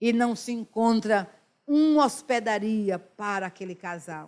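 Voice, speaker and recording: In a very clean recording with a silent background, a woman speaks at a fairly slow pace. Her pitch is fairly high and her intonation lively. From Brazil, Northeast. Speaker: pastor. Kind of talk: sermon. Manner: animated.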